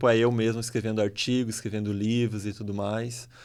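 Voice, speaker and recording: The background is silent and the recording very clean. A man speaks very fast. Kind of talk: conversational interview.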